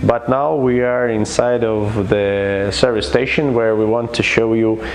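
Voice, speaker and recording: A man with a non-native accent speaks at a very slow pace. Audible room echo and noticeable background noise surround him. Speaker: equipment company representative. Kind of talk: product demonstration. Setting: service station workshop. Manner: halting, many fillers. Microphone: low quality video recording.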